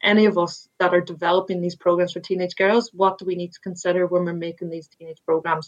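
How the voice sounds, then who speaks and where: This woman speaks with an Irish accent. Her pitch is medium. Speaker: sports administrator and former rugby player. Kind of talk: interview.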